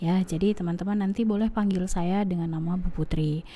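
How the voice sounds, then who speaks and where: A woman speaks at a medium pitch with a dark, mellow tone, somewhat breathy, her pitch moving in an ordinary way. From Aceh, Indonesia. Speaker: university lecturer. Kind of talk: lecture. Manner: hesitant with fillers.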